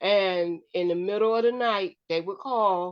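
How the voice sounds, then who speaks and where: This woman has a plain, everyday voice at medium pitch with ordinary pitch variation. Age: 60s. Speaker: show co-host, former foster parent. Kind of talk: casual chat.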